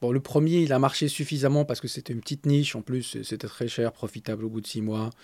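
On a very clean recording with a silent background, a man talks very fast at a medium pitch with ordinary pitch variation and hardly any pauses. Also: dry, close sound with no echo. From Morocco, Agadir. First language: Arabic (speaking French). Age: 30s. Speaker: startup founder and CEO. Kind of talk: interview. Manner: halting.

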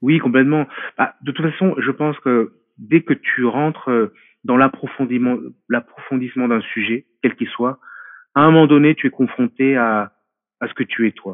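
A man talks at a fairly slow pace, leaving long, frequent pauses. His pitch is medium, with ordinary variation. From France. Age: 40s. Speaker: martial arts specialist. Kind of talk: interview. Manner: halting.

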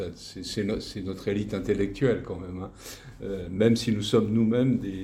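The man's voice is fairly low in pitch, somewhat breathy, with a dark, mellow tone and fairly even intonation. He speaks at a fairly slow pace, and audible room echo surrounds him. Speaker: retired teacher. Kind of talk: testimony interview. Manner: halting, many repetitions.

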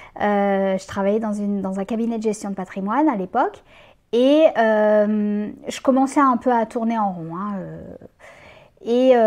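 Speaking at a fairly slow pace with long, frequent pauses, a woman with a fairly high pitch shows ordinary pitch variation. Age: 40s. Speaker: community manager and freelance writer. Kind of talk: interview. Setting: in person with host. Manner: hesitant, many fillers.

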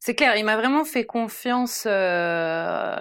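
Fairly high female voice at a very slow pace, with ordinary pitch variation, on a very clean recording with a silent background. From France and Sweden, bicultural. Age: 30s. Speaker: former primary school teacher, parenting influencer. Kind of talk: casual chat.

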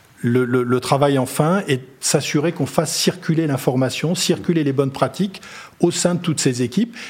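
A man speaks at a moderate pace in a fairly high, somewhat breathy voice. His pitch varies in an ordinary way and his loudness stays very even. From Brittany, France. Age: 50s. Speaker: company chief executive. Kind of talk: interview. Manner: halting, with repetitions.

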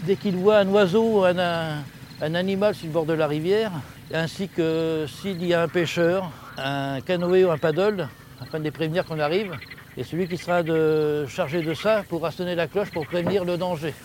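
Noticeable background noise sits behind a man with a high pitch. He speaks at a moderate pace with fairly even intonation. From France, Touraine (Véretz). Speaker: boat captain and river guide. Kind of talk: guided tour. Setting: outdoors on a boat on the river.

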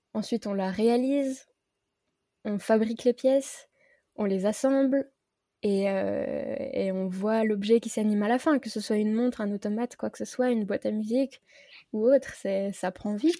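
A woman speaks at a moderate pace in a fairly high voice with a dark, mellow tone and ordinary pitch variation. She leaves long, frequent pauses, and the recording is very clean with a silent background. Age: 20s. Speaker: independent watchmaker. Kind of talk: casual chat.

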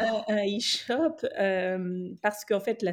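A woman's voice, a bit breathy, its pitch rising and falling in an ordinary way. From West Africa. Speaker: journalist and fashion entrepreneur. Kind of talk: interview conversation.

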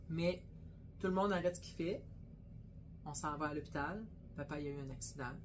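The speaker talks at a fairly quick pace with long, frequent pauses and big swings in loudness, with audible room echo. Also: woman, very deep, low pitch for a woman, ordinary pitch variation. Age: 50s. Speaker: butcher shop owner and podcast co-host. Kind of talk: casual chat.

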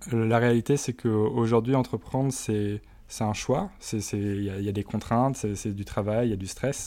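Fairly even in intonation, a man's voice carries a dark, mellow tone. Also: medium pitch for a man. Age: 20s. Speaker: startup co-founder. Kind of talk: interview. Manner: hesitant, many fillers.

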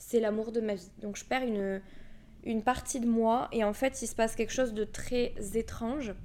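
A woman with a Toulouse accent talks at a moderate pace in a fairly high voice. Her tone is dark and mellow, and her intonation stays fairly even. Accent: southern French (Toulouse). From Toulouse area, southern France. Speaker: podcast host, energy healer. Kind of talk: casual monologue.

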